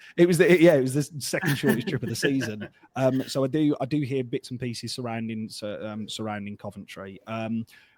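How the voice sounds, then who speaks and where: In a Birmingham accent, the speaker moves at a fairly quick pace with hardly any pauses, ordinary pitch variation and big swings in loudness. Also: man, medium pitch for a man. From England, Birmingham. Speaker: football fan podcaster. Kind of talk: casual chat.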